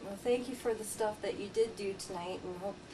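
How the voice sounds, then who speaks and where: A woman speaks at a medium pitch and a fairly quick pace. Her intonation stays fairly even over noticeable background noise. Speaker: paranormal investigator. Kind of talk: narrated investigation and analysis.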